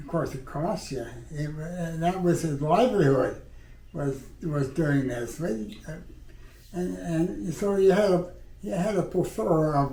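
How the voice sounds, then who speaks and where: Over noticeable background noise, a man with a fairly high voice and ordinary pitch variation speaks at a fairly slow pace with long, frequent pauses. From Canada. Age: 80s+. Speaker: war veteran. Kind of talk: interview answer.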